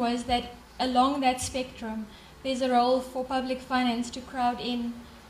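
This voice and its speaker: In a room with audible echo and noticeable background noise, a woman speaks at a moderate pace and a high pitch, her intonation flat and monotone. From South Africa. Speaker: development bank representative. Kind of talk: conference closing remarks. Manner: hesitant, many fillers.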